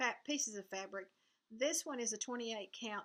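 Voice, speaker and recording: Lively intonation marks a woman's speech with a Southern US accent. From US South. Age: 70s. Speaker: cross-stitch video blogger. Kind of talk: casual vlog chat.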